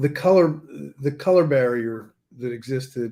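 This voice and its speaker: This man's pitch is medium, with ordinary variation. He talks at a fairly slow pace. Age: 60s. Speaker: car dealer. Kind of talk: casual chat. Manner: halting.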